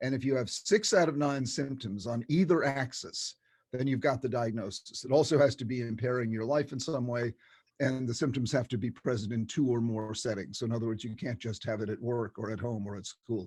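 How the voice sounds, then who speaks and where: A man with an American accent talks at a fairly quick pace and medium pitch. His voice is somewhat breathy, with ordinary pitch variation. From United States. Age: 70s. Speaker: psychiatrist and author. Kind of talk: interview. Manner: animated, repetitive stammering starts.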